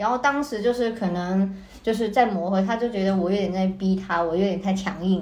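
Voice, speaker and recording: With audible room echo, a woman of medium pitch speaks at a fairly quick pace and shows ordinary pitch variation. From Hong Kong. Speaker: art student. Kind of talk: casual chat.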